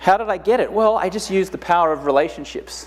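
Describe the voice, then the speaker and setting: The voice carries an Australian accent. It moves at a very fast pace. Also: man. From Australia, Brisbane. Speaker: conference speaker, entrepreneur. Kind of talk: motivational talk.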